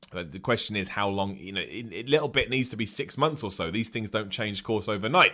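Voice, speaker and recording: A man with an English accent, animated and fairly quick, bright, sharp tone and lively intonation. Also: very clean recording, silent background. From England. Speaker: wrestling podcast host. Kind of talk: live-streamed solo podcast with chat questions. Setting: live stream on video platform.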